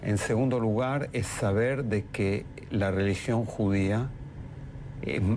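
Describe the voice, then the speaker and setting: The speech has ordinary pitch variation, with audible room echo around it. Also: man. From Argentina. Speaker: politician. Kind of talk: TV interview.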